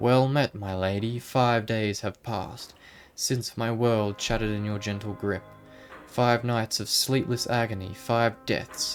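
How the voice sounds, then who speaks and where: Putting on a character voice, a man growls and rumbles at a moderate pace with fairly low pitch while clear music plays in the background. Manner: savage snarling.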